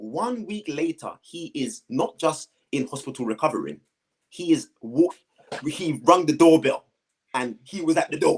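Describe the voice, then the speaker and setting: Someone speaks in a London accent, with big swings in loudness. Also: man, fairly high pitch for a man, lively intonation, fairly slow pace. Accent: London multicultural English. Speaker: guest sharing life story. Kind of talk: testimony. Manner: animated.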